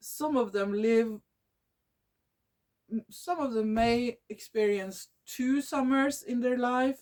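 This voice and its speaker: A woman speaks with a Norwegian accent at a very slow pace, her high pitch showing ordinary variation, her loudness very even, and her pauses long and frequent. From Norway. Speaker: nature video creator. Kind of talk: casual talk to camera. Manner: halting, with false starts.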